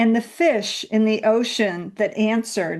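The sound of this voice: This is an unforced reading voice. It is heard throughout the clip.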